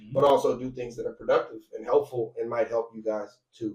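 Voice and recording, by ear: A man does a raspy put-on character voice at a fairly quick pace, with big swings in loudness.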